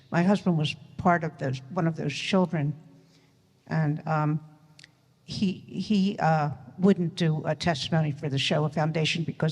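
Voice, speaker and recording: Somewhat breathy and very deep, low in pitch, a woman speaks with fairly even intonation. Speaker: audience member. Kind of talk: audience question. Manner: hesitant.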